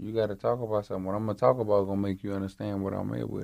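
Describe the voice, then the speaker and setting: A man with a strong Louisiana accent, fairly low pitch and a very fast pace. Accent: thick Louisiana. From Baton Rouge, Louisiana. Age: 20s. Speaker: rapper. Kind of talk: casual interview.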